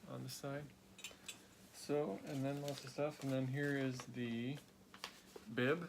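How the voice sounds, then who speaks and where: Very slow speech from a man at a medium pitch with fairly even intonation, over noticeable background noise. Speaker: amateur marathon runner. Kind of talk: casual video chat.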